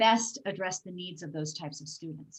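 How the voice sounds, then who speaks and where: Someone speaks with an American accent in a somewhat breathy voice, the intonation lively. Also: woman. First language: Gujarati. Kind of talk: Q&A after talk. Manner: halting, many fillers.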